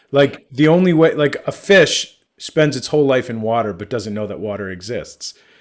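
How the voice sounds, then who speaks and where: This man has an unremarkable speaking voice, fairly high in pitch, with lively intonation and big swings in loudness. He keeps a moderate pace with hardly any pauses. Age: 30s. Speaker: podcast host. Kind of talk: casual chat.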